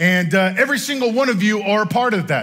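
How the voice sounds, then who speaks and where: A man at a fairly quick pace, bright and sharp in tone, with ordinary pitch variation, against a quiet background. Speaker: pastor. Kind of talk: sermon. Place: church.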